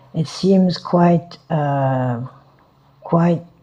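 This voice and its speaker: Noticeable background noise runs behind the speaker. A woman with a French accent talks in a very deep, low pitch. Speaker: Buddhist teacher. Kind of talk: dharma talk. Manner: halting, many fillers.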